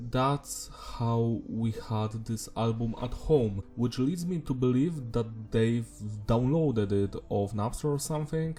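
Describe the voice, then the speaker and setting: Very slow, non-native-accented speech from a man at medium pitch, with ordinary pitch variation. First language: not English. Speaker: music reviewer. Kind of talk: album review monologue. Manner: casual.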